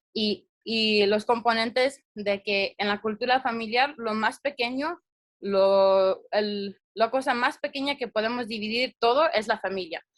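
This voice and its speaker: Fairly high for a woman, her voice shows ordinary pitch variation. She speaks at a fairly slow pace. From US, child of Latin American immigrants. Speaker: mental health presenter. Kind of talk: presentation. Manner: halting.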